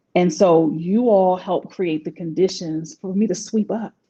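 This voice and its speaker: A somewhat breathy woman's voice of medium pitch, dark and mellow in tone, with ordinary pitch variation. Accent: DC. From Washington DC. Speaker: life coach. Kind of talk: interview.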